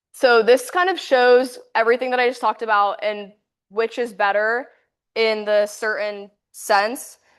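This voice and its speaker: Against a quiet background, a woman speaks in a fairly high voice with ordinary pitch variation. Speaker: university student presenter. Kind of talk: class presentation. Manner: fast.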